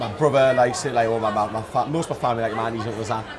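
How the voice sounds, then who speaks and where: Amid crowd noise in the background and audible room echo, a man speaks at a very fast pace in a medium pitch with fairly even intonation. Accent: Geordie. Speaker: reality TV star. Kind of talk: casual chat. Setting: restaurant.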